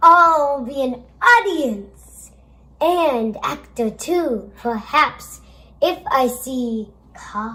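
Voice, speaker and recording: A female-sounding voice takes on a put-on character voice at a high pitch. The pace is very slow. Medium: stage play. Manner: playful, rhythmic.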